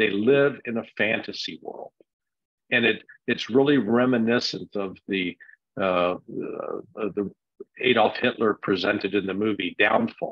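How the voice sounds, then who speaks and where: With an American accent, the speaker goes at a fairly slow pace with fairly even intonation. Long pauses come often. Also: man, medium pitch for a man. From United States. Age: 60s. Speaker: political commentator. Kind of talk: interview.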